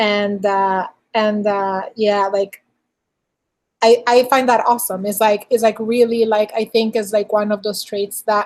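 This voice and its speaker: A woman with a non-native accent speaks at a fairly slow pace in a fairly high, monotone voice with flat intonation. The recording is very clean, with a silent background. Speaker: podcast host; engineering director. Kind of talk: interview.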